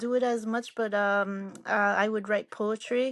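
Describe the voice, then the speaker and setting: With an American accent and a plain, everyday voice, a woman speaks fairly slowly and with fairly even intonation against a quiet background. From US. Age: 40s. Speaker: interview guest. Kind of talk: interview conversation.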